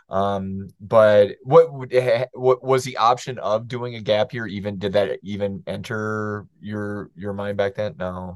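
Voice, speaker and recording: A man's fairly low voice at a fairly slow pace, with hardly any pauses, ordinary pitch variation and big swings in loudness. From US Midwest. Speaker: podcast host and professor. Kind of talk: casual interview conversation.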